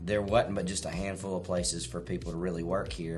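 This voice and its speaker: Clear music plays in the background as a man speaks with a very deep, low pitch and ordinary pitch variation. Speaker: presenter. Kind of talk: casual discussion commentary. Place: home room.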